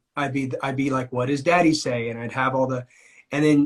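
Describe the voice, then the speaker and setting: Somewhat breathy and with a fairly even intonation, the voice carries an American accent. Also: man. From California (Amador County). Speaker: singer-songwriter. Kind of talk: interview.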